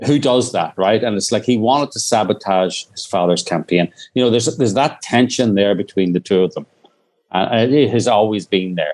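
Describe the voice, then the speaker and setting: The speaker has an Irish accent and talks at a fairly quick pace with ordinary pitch variation. The sound is dry and close, with no echo. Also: man, medium pitch for a man. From Northern Ireland. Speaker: documentary filmmaker. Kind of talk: interview. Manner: halting, many restarts.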